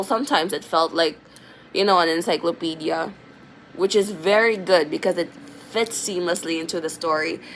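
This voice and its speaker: With noticeable background noise behind her, a woman speaks at a moderate pace and a medium pitch with ordinary pitch variation. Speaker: vlogger, aspiring fiction writer. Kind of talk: casual vlog chat. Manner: casual, filler-heavy.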